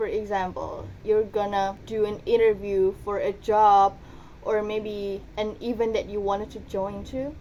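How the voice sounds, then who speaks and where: The tone is dark and mellow. Delivery is fairly slow, with monotone, flat intonation. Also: woman, fairly high pitch for a woman. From Indonesia, Surabaya (East Java). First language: Indonesian/Javanese. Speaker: university student. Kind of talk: student presentation. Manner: casual, conversational.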